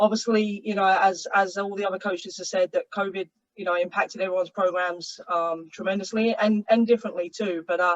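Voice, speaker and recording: Fairly quick, monotone speech from a woman at medium pitch, with flat intonation, hardly any pauses and a dry, close sound with no echo. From England. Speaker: college soccer coach. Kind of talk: panel webinar introduction. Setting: video call.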